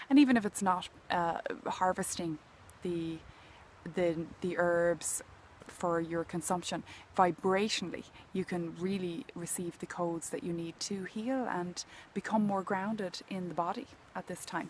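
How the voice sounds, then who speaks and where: A woman with an Irish accent speaks at a fairly low pitch and a fairly slow pace. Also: ordinary pitch variation. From Ireland. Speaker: healing mentor and nature intuitive. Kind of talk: contemplative talk to camera outdoors. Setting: outdoors.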